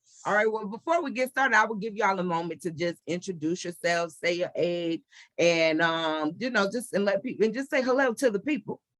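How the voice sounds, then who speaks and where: A woman speaks in an ordinary speaking voice at medium pitch. Her intonation is lively and her pace fairly quick. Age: 40s. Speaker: podcast host. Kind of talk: casual chat.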